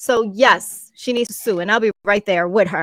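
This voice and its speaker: Spoken at a fairly slow pace with a Spanish accent, this voice has lively intonation, a bright, sharp tone and a dry, close sound with no echo. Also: woman. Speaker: co-host. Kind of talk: casual podcast chat.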